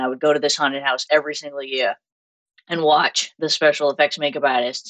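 A woman with a low-pitched voice speaks in a dry, close sound with no echo. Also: fairly bright tone.

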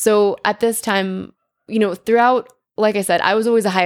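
A woman with an American accent talks at a moderate pace in a normal speaking voice, her intonation fairly even. The recording is very clean, with a silent background. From Connecticut. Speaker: wellness coach and yoga founder. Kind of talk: interview. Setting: on location at a sports event.

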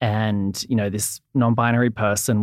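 Fairly slow speech in an Australian accent, in a very clean recording with a silent background. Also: man. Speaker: entertainment reporter. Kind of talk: casual interview chat.

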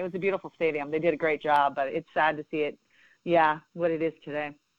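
Very deep and low in pitch, a woman speaks at a very fast pace in a monotone, flat intonation, the sound dry and close with no echo. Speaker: softball coach and former Olympian. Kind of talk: casual interview.

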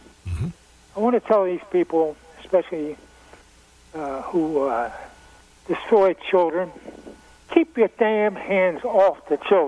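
Speaking at a fairly slow pace with long, frequent pauses, a man uses a high pitch and ordinary pitch variation in a dry, close sound with no echo, with noticeable background noise behind him. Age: 80s+. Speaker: caller. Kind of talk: casual chat.

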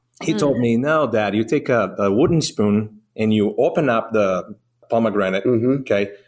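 Using ordinary pitch variation, a man with a medium pitch talks with a Brazilian accent. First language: Portuguese. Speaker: restaurant owner. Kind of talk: casual interview chat.

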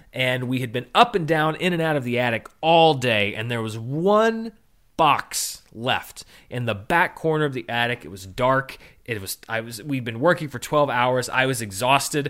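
A man's plain, everyday voice at a medium pitch with ordinary pitch variation and a moderate pace, on a very clean recording with a silent background. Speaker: film podcast host. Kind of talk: casual solo commentary. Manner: relaxed with frequent fillers.

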